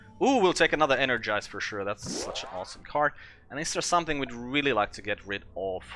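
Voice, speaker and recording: Over background music, a man with a non-native accent talks at a very fast pace, with a fairly high pitch, lively intonation and big swings in loudness. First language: not English. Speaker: gaming video creator. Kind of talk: let's play commentary. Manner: casual, thinking aloud.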